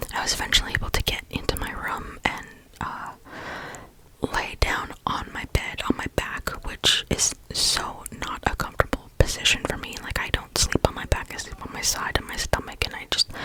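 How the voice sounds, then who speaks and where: Against noticeable background noise, a woman whispers at a moderate pace with big swings in loudness. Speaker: ASMR creator. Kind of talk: casual whisper ramble about health, storytime. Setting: studio, close microphone. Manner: whispered, soft-spoken.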